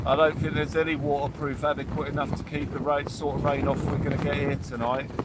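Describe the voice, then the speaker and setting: A man with a British accent and fairly high pitch, speaking very fast in a flat monotone with hardly any pauses, amid noticeable background noise and audible room echo. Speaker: angler livestreamer. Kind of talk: live fishing stream chat. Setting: fishing shelter on beach in storm. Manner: loud, shouting over wind.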